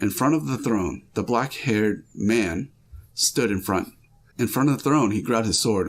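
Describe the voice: Reading aloud, plain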